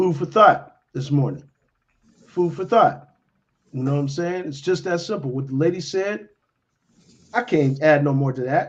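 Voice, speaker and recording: Fairly high pitch from a man, with ordinary pitch variation, a moderate pace, and long, frequent pauses. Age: 50s. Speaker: morning show host. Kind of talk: casual talk show chat. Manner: animated.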